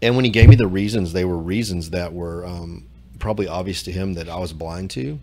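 A man with a very deep, low pitch talks at a fairly quick pace, with ordinary pitch variation and big swings in loudness. There is audible room echo. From Louisiana. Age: 40s. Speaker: church member. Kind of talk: personal testimony. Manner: halting, repeats words.

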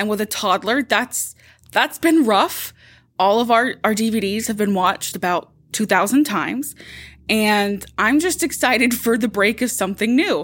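A woman speaks at a moderate pace in a normal speaking voice, pitched fairly high with ordinary pitch variation. The recording is very clean, the background silent. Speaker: podcast host, corporate support staff. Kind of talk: casual chat, workplace podcast.

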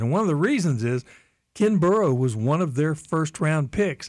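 On a very clean recording with a silent background, a man with a normal speaking voice talks at a moderate pace and a fairly high pitch. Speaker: radio host. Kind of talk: radio host patter. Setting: radio studio.

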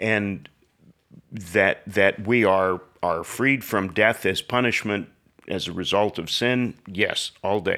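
A man's fairly low voice has a bright, sharp tone as he speaks at a very slow pace. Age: 70s. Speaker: pastor. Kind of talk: casual conversation. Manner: dry, laconic.

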